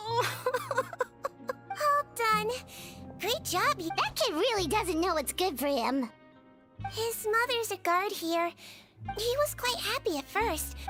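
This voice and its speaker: Putting on a character voice, a woman speaks at an extremely high pitch with very wide pitch swings, a fairly slow pace and long, frequent pauses, with clear music in the background. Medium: video game. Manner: sweet, patient.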